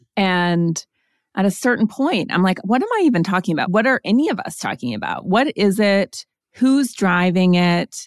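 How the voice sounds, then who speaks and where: A woman with an American accent and an unremarkable speaking voice talks at a moderate pace in a medium pitch with lively intonation, in a dry, close sound with no echo on a very clean recording with a silent background. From Montana. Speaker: author and podcast host. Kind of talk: interview.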